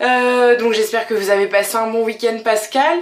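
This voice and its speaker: Speaking at a moderate pace, a woman with a fairly high pitch is heard over noticeable background noise and audible room echo. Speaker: vlogger. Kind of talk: casual vlog monologue. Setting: home bathroom. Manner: hesitant, many fillers.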